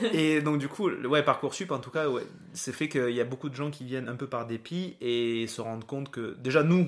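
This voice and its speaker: A man with a southern French accent speaks at a fairly quick pace with ordinary pitch variation. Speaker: podcast host and nurse. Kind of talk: casual chat.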